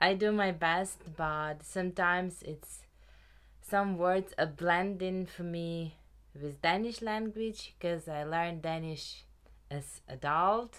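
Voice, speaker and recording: In a Ukrainian accent, a woman speaks at a very slow pace in a fairly low pitch with ordinary pitch variation, on a very clean recording with a silent background. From Ukraine. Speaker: knitting podcaster. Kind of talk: casual chat.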